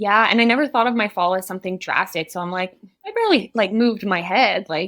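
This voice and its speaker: A woman with a French accent talks at a very fast pace. Her pitch is medium, with ordinary pitch variation. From Ontario, Canada (Barrie), French-speaking. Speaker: naturopathic doctor. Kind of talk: podcast interview, personal story. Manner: halting, stumbles on words.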